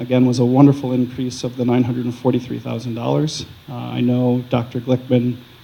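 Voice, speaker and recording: Against noticeable background noise, a man speaks with hardly any pauses in monotone, flat intonation. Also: medium pitch for a man, fairly quick pace. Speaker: school district finance official presenting budget. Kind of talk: formal, presentation.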